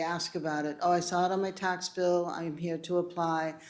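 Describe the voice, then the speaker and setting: Audible room echo carries a woman's voice. She speaks at a fairly slow pace with a fairly low pitch. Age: 60s. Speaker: municipal property assessor. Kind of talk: public meeting presentation. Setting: city council chambers. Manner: conversational, with false starts.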